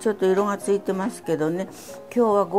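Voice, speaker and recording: Clear background music under a woman's voice. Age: 80s+. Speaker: cooking instructor. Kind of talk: cooking class demonstration. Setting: home kitchen. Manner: light, witty. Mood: light, chatty instruction. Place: kitchen. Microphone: lapel.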